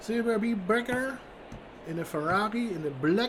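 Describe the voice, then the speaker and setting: Noticeable noise runs in the background while the words come at a moderate pace. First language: German. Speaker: sim racing commentator. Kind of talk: live commentary. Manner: halting.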